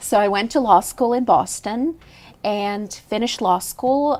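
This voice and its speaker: A woman speaks in a Russian accent with ordinary pitch variation. The recording is very clean, with a silent background. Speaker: lawyer and judicial candidate. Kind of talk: TV interview.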